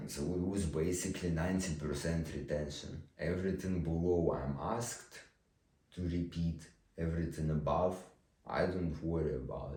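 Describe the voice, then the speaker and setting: The voice is somewhat breathy with fairly even intonation, and audible room echo surrounds it. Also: man, very deep, low pitch for a man. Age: 20s. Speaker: vlogger. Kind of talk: personal monologue. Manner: slow speaking.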